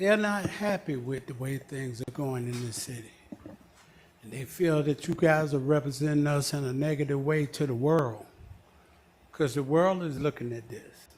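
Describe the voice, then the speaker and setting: With an American accent and an unremarkable speaking voice, a man talks at a moderate pace and fairly high pitch, with ordinary pitch variation and big swings in loudness. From US South, Georgia (College Park). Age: 60s. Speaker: resident giving public comment. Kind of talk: public comment at council meeting. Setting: city council meeting.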